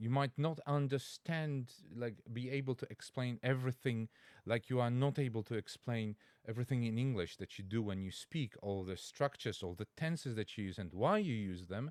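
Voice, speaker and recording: With a Polish accent, a man speaks at a moderate pace in a medium pitch with ordinary pitch variation, the sound dry and close with no echo. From Poland. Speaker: language teacher and Latin learner. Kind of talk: reaction video commentary. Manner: halting, with fillers and self-corrections.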